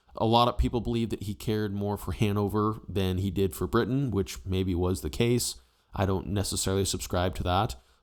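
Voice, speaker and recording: A man speaks in a normal speaking voice with lively intonation. The recording is very clean, with a silent background. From United States. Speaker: history YouTuber. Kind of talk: casual opinion commentary.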